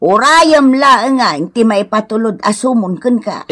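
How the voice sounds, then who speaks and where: A woman uses a put-on character voice with a fairly high pitch, speaking at a fairly slow pace. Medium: audio drama. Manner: firm, accusing.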